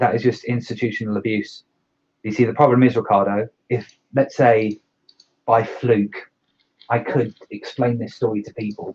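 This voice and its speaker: A man with a medium-pitched, somewhat breathy voice speaks at a moderate pace in a flat monotone. His loudness swings widely, and he leaves long, frequent pauses. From Ireland. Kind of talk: casual chat. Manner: halting.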